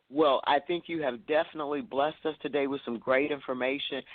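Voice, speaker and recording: A woman speaks very fast with a slight Southern US accent. Her pitch is very deep and low. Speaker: talk show host interviewing authors. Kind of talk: casual interview chat. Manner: frequent fillers and repetitions.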